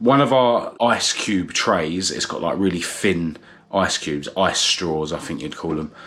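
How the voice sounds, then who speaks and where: A man speaks in a southern English accent. His pitch is very deep and low, and his pace is fairly slow. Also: lively intonation. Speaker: vlogger. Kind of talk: casual vlog talk to camera. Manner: hesitant, many fillers.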